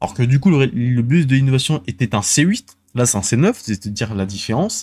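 The voice has a dark, mellow tone at a moderate pace, with a dry sound and no echo. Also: man. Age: 20s. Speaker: gaming and transport news video host; streamer. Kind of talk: solo casual show commentary. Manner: halting, many fillers and repetitions. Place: home room. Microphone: studio mic.

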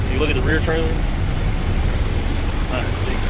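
A man is heard against noticeable background noise, with a dry sound that has no echo. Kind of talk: casual vlog chat. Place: car. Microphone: phone near.

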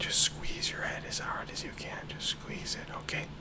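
A man speaks here. He is whispering. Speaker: ASMR therapist guiding a relaxation session. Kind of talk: guided progressive muscle relaxation. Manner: slow, rhythmic, counting. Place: home room.

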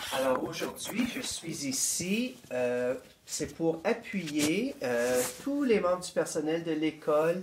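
Amid noticeable background noise, the speaker goes at a very slow pace with very wide pitch swings. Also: man, high pitch for a man. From northeastern Ontario. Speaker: school board education administrator. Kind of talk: interview.

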